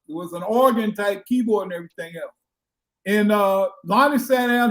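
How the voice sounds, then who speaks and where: Here a man is speaking. His voice is high in pitch. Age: 70s. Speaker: musician and music teacher. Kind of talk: casual chat. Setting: studio.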